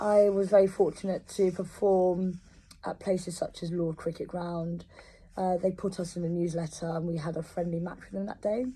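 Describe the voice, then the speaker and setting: A woman with a London accent speaks at a moderate pace in a fairly low, somewhat breathy voice with a dark, mellow tone. Her intonation is flat and monotone, while her loudness swings widely. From London, England. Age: 30s. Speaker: composer. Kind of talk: personal testimony. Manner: hesitant, many fillers.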